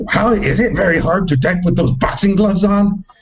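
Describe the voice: A man performs in a put-on character voice.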